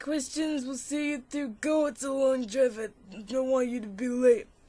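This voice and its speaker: A woman's raspy, put-on character voice, high in pitch, at a moderate pace, with big swings in loudness. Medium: read story.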